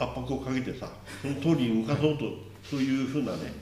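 A very fast voice with ordinary pitch variation, audible room echo and noticeable background noise. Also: man. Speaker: city council vice chairman. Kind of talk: casual interview.

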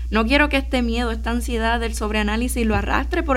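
Audible room echo surrounds a woman's voice. She speaks at a very fast pace over noticeable background noise. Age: 20s. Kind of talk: radio interview.

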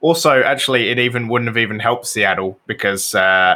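A man with a British accent talks at a moderate pace, his tone bright and sharp with ordinary pitch variation. The recording is very clean, with a silent background. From Britain. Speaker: soccer podcast guest and gaming streamer. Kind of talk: casual chat.

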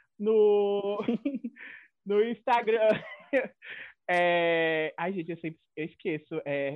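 The speaker moves at a very slow pace with long, frequent pauses. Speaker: podcast guest. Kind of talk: casual chat.

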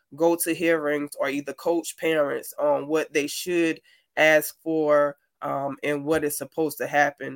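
A fairly slow, flat, monotone delivery in an American accent, dry and close with no echo, on a very clean recording with a silent background. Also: woman. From South Carolina. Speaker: military veteran and poet. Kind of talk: interview.

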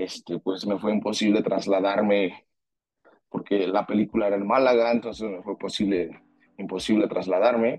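A man with a Mexican accent speaks in a fairly low voice with a dark, mellow tone. His pace is moderate and his intonation fairly even. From Mexico. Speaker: singer-songwriter and actor. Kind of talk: interview. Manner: halting, many fillers.

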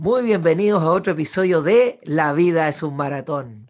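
A man's lively intonation comes at a moderate pace. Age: 30s. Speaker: podcast host and physiotherapist. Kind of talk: casual interview.

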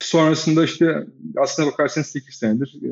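At a fairly quick pace, a man speaks in an unremarkable speaking voice with ordinary pitch variation. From Turkey, Izmir. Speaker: venture capital investor. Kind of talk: interview.

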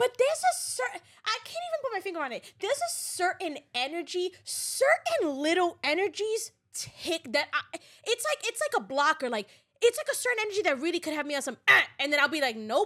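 The raised, projected voice is bright, sharp and animated, moving at a fairly quick pace. Its pitch swings are very wide, and the recording is very clean with a silent background. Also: woman, extremely high pitch for a woman. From New York. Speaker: podcast co-host. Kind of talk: casual chat.

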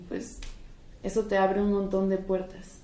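Amid noticeable background noise and audible room echo, a woman speaks at medium pitch with fairly even intonation. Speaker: art student. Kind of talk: casual chat.

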